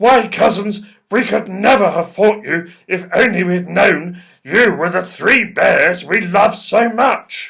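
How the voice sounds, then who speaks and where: A man uses a put-on character voice pitched high. He speaks at a fairly slow pace. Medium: read story.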